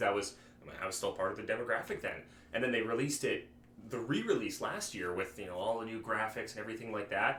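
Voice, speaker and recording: Noticeable background noise and audible room echo around a man talking very fast. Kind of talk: casual chat. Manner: halting, many false starts.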